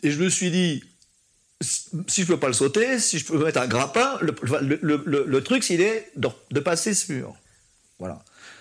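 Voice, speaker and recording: A man moves at a fairly slow pace with long, frequent pauses and very wide pitch swings. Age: 50s. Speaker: paraplegic horse trainer, former stunt rider. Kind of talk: interview. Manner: halting, many repetitions.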